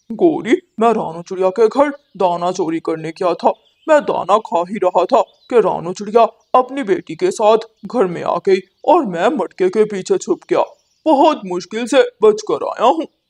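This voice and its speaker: A man's cartoonish character voice, high in pitch, at a moderate pace. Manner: boastful.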